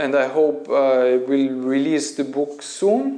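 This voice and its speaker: A man with a German accent speaks at a very slow pace. Noticeable background noise and audible room echo fill the recording. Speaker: Feldenkrais teacher and YouTuber. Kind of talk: casual Q&A monologue. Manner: halting, with self-corrections.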